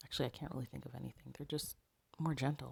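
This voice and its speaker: Quietly, a woman speaks at a very fast pace. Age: 30s. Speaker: dating advice vlogger. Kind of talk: casual advice monologue. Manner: quiet, hushed.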